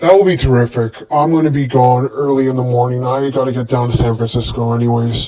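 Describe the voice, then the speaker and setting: A man puts on a character voice at a medium pitch. He races through it at a very fast pace. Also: hardly any pauses. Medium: read story.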